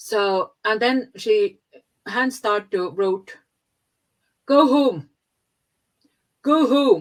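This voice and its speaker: In an Estonian accent, a woman speaks very slowly at a high pitch, her voice swinging very widely in pitch between long, frequent pauses. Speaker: podcast guest. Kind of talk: interview answer.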